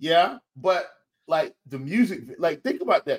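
A man is speaking. His pitch swings very widely. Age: 30s. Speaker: fantasy sports analyst. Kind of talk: casual chat.

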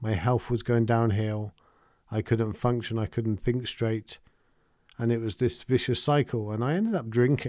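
In a very clean recording with a silent background, a man with an English accent speaks at a moderate pace and medium pitch, his tone dark and mellow and his intonation fairly even. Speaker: meditation teacher and podcast host. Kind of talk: solo podcast talk. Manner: calm.

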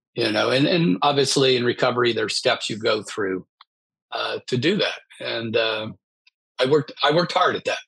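Using an unremarkable speaking voice, a man with an American accent talks at a medium pitch and a moderate pace. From US Midwest. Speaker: business author in recovery. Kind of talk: interview, personal testimony.

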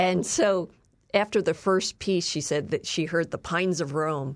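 Against a quiet background, a woman speaks in a normal speaking voice. Her pitch sits fairly low and her intonation stays fairly even. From Philadelphia, US. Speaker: author and filmmaker, former journalist. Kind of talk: interview.

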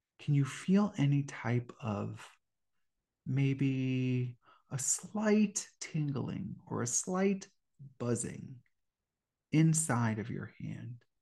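Speaking at a very slow pace with long, frequent pauses, a man uses a dark, mellow, somewhat breathy voice, a calm, soothing tone and lively intonation. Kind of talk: guided meditation. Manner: slow, calm, soothing.

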